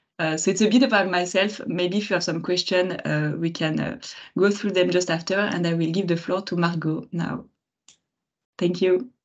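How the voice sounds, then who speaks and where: With a French accent, a woman speaks at a moderate pace in a fairly low pitch. Her intonation is fairly even, and the background is quiet. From France. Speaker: marketing manager. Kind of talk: webinar talk. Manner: hesitant, many fillers.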